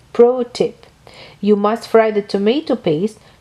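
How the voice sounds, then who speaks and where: Speaking at a fairly slow pace, a woman with a non-native accent has a dark, mellow tone. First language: not English. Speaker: home cook. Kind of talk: cooking tutorial voice-over.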